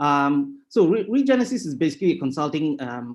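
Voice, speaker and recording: In a Tamil accent, a man speaks at a fairly high pitch with ordinary pitch variation against a quiet background. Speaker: sustainability consultant. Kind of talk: webinar presentation. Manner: halting.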